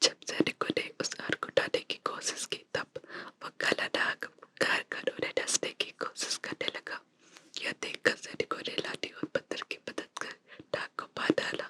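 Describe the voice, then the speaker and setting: A woman whispers over noticeable background noise, the sound dry and close with no echo. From India. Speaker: ASMR creator. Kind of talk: ASMR story reading. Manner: whispered.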